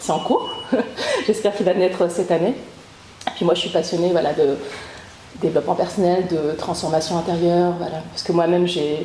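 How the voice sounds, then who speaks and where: Over noticeable background noise, a woman with a fairly low voice speaks very fast, her intonation fairly even. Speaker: author and podcaster, trauma survivor. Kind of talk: interview testimony. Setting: training session with group. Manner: hesitant, many fillers.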